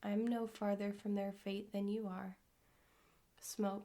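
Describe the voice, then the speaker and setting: Soft-spoken, the voice moves along at a fairly slow pace. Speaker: ASMR creator. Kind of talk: poetry reading.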